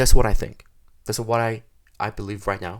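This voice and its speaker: A man with a Korean accent, fairly low pitch and ordinary pitch variation, in a very clean recording with a silent background. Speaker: software developer. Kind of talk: tutorial. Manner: halting.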